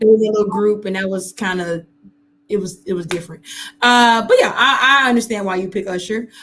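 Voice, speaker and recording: A woman's unremarkable speaking voice at medium pitch, with fairly even intonation and a fairly quick pace. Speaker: podcast host. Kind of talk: casual podcast conversation.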